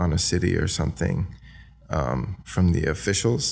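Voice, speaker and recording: The voice carries vocal fry and a dark, mellow tone. It moves at a fairly slow pace. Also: man. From Australia. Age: 20s. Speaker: videographer, film company owner. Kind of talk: podcast interview answer. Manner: soft-spoken.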